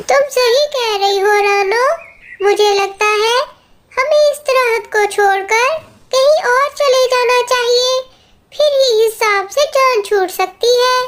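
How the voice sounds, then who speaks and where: The delivery is fairly slow. It is a cartoonish character voice. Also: woman, extremely high pitch for a woman. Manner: timid, worried.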